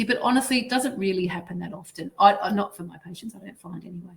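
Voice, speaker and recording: Speaking at a very fast pace, a woman with an Australian accent sounds somewhat breathy. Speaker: dental finance consultant presenting. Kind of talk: webinar presentation.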